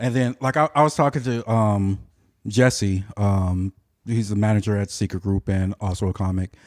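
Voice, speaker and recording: An unremarkable speaking voice belongs to a man with a fairly low pitch, moving at a moderate pace with ordinary pitch variation. The sound is dry and close with no echo, in a very clean recording with a silent background. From Southern California. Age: 40s. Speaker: aspiring stand-up comedian. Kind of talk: casual chat.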